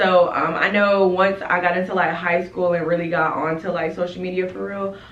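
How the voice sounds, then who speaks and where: Against audible room echo, a woman with a fairly low pitch speaks at a moderate pace. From North Carolina, Rocky Mount. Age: 20s. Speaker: lash business owner and vlogger. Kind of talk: casual Q&A vlog chat. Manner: animated.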